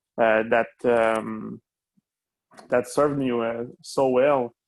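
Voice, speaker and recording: A man speaks with a French accent. His pace is very slow. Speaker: online gaming club member. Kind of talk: casual chat. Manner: halting, many fillers.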